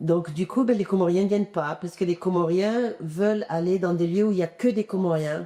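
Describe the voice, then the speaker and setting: Medium pitch and ordinary pitch variation from a woman, at a moderate pace with hardly any pauses. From Comoros, raised in France (Drôme). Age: 60s. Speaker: singer-songwriter. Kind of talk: interview. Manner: hesitant, many fillers.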